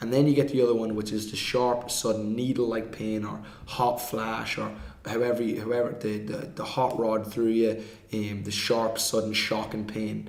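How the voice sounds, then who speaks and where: A man with an Irish accent at medium pitch, monotone, flat intonation and a moderate pace, with audible room echo and noticeable background noise. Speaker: movement coach. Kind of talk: podcast discussion.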